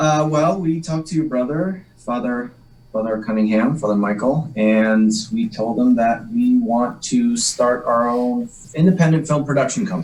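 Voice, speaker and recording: This man's fairly high voice rises and falls across a very wide range at a moderate tempo. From Massachusetts North Shore (Salem). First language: Polish. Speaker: actor. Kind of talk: interview chat.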